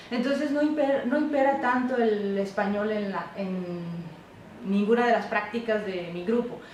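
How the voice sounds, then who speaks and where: Over noticeable background noise and audible room echo, a woman with a fairly high pitch talks at a moderate pace with ordinary pitch variation. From Mexico, Isthmus of Tehuantepec, Oaxaca. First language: Isthmus Zapotec (speaking Spanish). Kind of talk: interview. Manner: halting with self-corrections.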